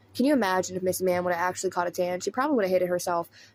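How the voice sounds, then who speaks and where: A woman talks in a Southern US accent. Her pitch varies in an ordinary way. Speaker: commentary YouTuber. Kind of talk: drama commentary. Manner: casual.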